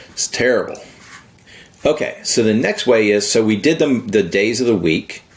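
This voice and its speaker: A man speaks fairly slowly and with lively intonation as noticeable background noise carries on. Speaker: software tutorial creator. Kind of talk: screen-recorded tutorial. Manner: casual.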